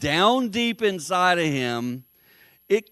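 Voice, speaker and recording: With a Southern US accent, a man with a high voice swings his pitch very widely on a very clean recording with a silent background and a dry, close sound with no echo. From US South, South Carolina. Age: 60s. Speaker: motivational speaker. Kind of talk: speech to business group. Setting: meeting with live audience.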